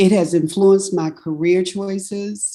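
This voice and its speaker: A woman's dark, mellow voice at a fairly slow pace, with ordinary pitch variation. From US South, North Carolina. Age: 60s. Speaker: food justice researcher. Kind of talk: webinar panel talk.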